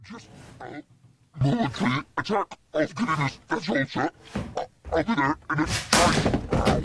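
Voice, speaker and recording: A man does a put-on character voice, fairly high in pitch. He keeps a moderate pace with long, frequent pauses. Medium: short film.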